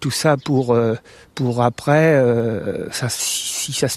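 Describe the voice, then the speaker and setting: Recorded with a dry, close sound with no echo, a man speaks at medium pitch with ordinary pitch variation. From France, Vendée. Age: 60s. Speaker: abuse survivor. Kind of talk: testimony. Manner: halting, many repetitions and hesitations.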